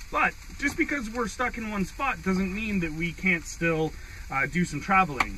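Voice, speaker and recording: Noticeable background noise behind a man speaking in a high pitch at a moderate pace. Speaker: van traveller vlogger. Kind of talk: casual vlog chat. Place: car. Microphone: camera far.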